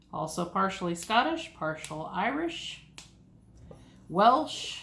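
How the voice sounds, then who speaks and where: In an American accent, the speaker talks at a very slow pace with very wide pitch swings, and audible room echo surrounds the voice. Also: woman, medium pitch for a woman. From US South, east Tennessee (Appalachia). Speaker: homesteading YouTuber. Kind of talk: ASMR casual monologue. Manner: soft-spoken.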